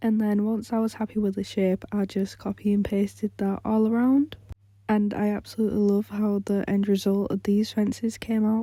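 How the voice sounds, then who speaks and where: A woman with a somewhat breathy voice and a dark, mellow tone talks at a medium speed, her intonation flat and monotone. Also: medium pitch for a woman, very even loudness. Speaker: gaming youtuber. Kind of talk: casual chat.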